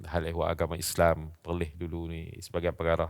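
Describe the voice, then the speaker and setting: Very deep, low male voice on a very clean recording with a silent background. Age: 60s. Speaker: Islamic religious teacher. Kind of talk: interview. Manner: halting.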